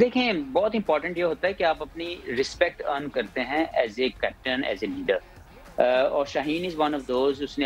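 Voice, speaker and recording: With faint music in the background, a man speaks at a fairly slow pace, the sound dry with no echo. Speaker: remote guest. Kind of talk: interview answer. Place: home room. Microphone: video call.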